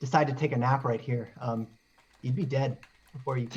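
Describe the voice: Fairly even intonation runs through the plain reading aloud.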